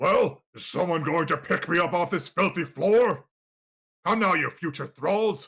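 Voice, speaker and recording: Someone does a put-on character voice at a middle pitch on a very clean recording with a silent background. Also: moderate pace. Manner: commanding, theatrical.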